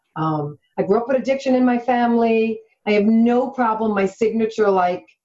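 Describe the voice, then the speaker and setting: A woman speaks at a fairly high pitch with ordinary pitch variation. Music plays in the background. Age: 40s. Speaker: health coach. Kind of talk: interview.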